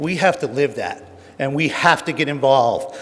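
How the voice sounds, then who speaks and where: A man with a New Jersey accent talks at a fairly slow pace in a fairly high pitch. His pitch variation is ordinary, and there is noticeable background noise. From New Jersey, Jersey City. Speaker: honorary award recipient, tolling industry veteran. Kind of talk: acceptance speech.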